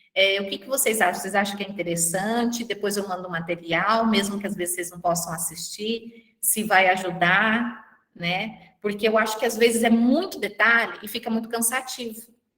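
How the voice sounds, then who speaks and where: With an ordinary speaking voice, a woman talks at a moderate pace and medium pitch, with ordinary pitch variation, big swings in loudness and hardly any pauses. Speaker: university lecturer and thesis advisor. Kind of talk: online class session.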